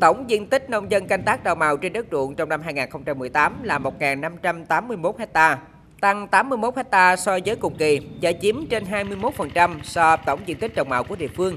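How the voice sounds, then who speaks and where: A woman's fairly low, plain, everyday voice with lively intonation at a fairly slow pace. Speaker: voiceover reporter. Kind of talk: news reading.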